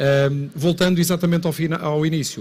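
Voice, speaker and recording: A man with a northern Portuguese accent speaks at a moderate pace in a somewhat breathy, fairly high voice with a monotone, flat intonation. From northern Portugal. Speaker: local council president. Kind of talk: conference talk. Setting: stage with audience.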